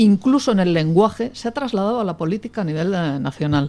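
This woman has a normal speaking voice at a medium pitch. She talks at a moderate pace with lively intonation. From Catalonia. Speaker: politician. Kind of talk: panel debate. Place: studio.

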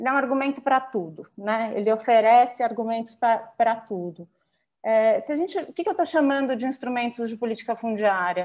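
A woman speaks at a fairly high pitch with ordinary pitch variation against a quiet background. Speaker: urban land policy consultant; presenter. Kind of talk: panel presentation. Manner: fast. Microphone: video call.

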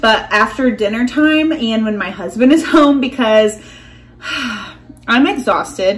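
A woman speaks at a slow pace with fairly high pitch. Her intonation is lively.

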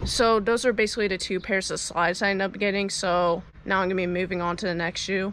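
A woman speaks fairly quickly with fairly even intonation, the sound dry with no echo but with noticeable background noise. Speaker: vlogger. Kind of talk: casual vlog chat. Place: garden. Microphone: phone near.

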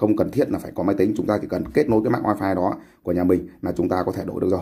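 Speaking at a very fast pace, a man uses a fairly low pitch and a dark, mellow tone. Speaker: tech YouTuber. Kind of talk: tutorial. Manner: casual, hesitant with fillers.

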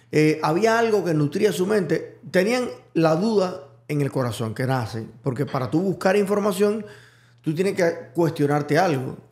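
At a moderate pace, a man speaks with a high-pitched voice. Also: lively intonation. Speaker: podcast host. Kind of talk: casual chat.

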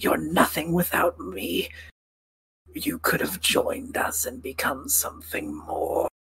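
Using a put-on character voice, a man talks in a raspy way at a fairly slow pace. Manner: bitter, scornful.

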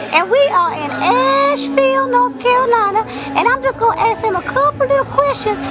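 A woman is speaking. Loud music plays in the background. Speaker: puppet interviewer. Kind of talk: comic interview questions. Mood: playful, joking. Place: bar. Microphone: phone near.

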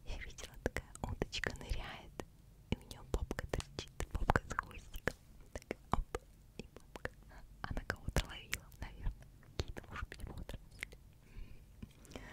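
Whispering in a soothing tone, a woman lets her loudness swing widely and leaves long, frequent pauses. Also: moderate pace. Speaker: ASMR creator. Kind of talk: ASMR whisper for sleep with interesting facts. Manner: whispered, close-mic, soothing. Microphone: studio mic.

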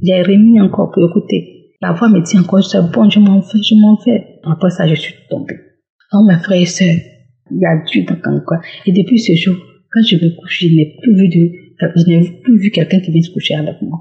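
At a moderate pace, a woman speaks in a somewhat breathy voice at a medium pitch with ordinary pitch variation. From Côte d'Ivoire. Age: young. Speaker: testimony giver. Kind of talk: testimony.

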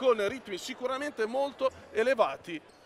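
A man's raised, projected voice at an extremely high pitch, moderate pace and ordinary pitch variation, dry with no echo, over noticeable background noise. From Italy. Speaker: play-by-play basketball commentator; sports commentator. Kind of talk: live commentary. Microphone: headset.

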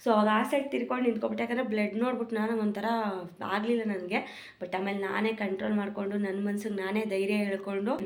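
Noticeable background noise and audible room echo fill the recording. A woman speaks at a fairly high pitch with fairly even intonation. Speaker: pregnant vlogger. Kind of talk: casual vlog. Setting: outdoors on the road.

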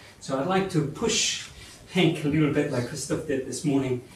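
The speech moves at a moderate pace, with audible room echo and light background noise. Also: man. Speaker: presenter. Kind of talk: lecture. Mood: light, joking aside. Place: hall.

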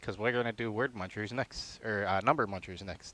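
In a very clean recording with a silent background and a dry, close sound free of echo, a man talks at a fairly quick pace with a bright, sharp tone. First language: not English, English second language. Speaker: gaming streamer. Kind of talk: live game stream, casual chat. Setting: live stream. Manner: joking, halting while reading game words.

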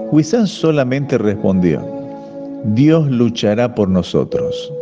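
At a fairly slow pace, a man speaks with very wide pitch swings while music plays in the background. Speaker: voice-over narrator. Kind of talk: devotional reading.

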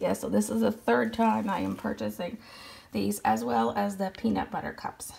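At a moderate pace, a woman with a fairly low pitch and vocal fry speaks with very wide pitch swings. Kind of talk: casual haul voiceover.

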